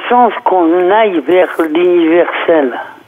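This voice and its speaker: Noticeable background noise sits behind speech at a very slow pace. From northern France. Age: 50s. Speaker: activist. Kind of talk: interview.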